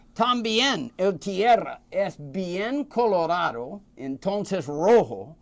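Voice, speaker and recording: A high-pitched man with an American accent, at a very slow pace with hardly any pauses and very wide pitch swings. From United States. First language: English (speaking Spanish). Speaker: cigar expert. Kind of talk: casual interview. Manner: halting, hesitant.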